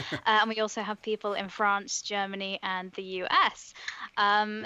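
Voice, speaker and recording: A woman speaks at medium pitch in a bright, sharp tone. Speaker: board game manufacturer representative. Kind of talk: casual panel chat.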